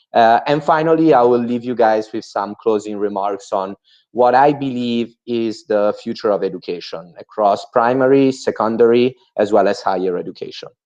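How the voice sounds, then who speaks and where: Moderately paced speech from a man with an Italian accent, ordinary pitch variation and hardly any pauses, over a quiet background. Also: medium pitch for a man. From Italy. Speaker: entrepreneur and MBA student. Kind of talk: webinar presentation. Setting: video call webinar. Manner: hesitant, with many fillers.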